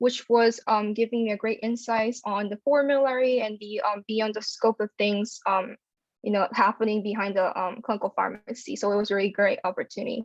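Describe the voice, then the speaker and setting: A woman in a Korean accent, fairly high in pitch, at a moderate pace with fairly even intonation. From South Korea. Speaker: pharmacy student. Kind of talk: panel talk. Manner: hesitant, many fillers.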